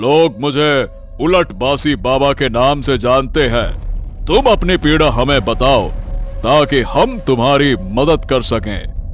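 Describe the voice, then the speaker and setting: In a cartoonish character voice, a man speaks at a fairly high pitch and a very slow pace with clear music in the background. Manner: slow, benevolent, jovial.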